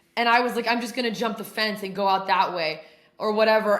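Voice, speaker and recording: In a room with audible echo, a woman with a fairly high voice speaks in an animated tone. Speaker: podcast host in addiction recovery. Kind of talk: casual chat, recovery testimony. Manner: loud; animated, heavy swearing slang.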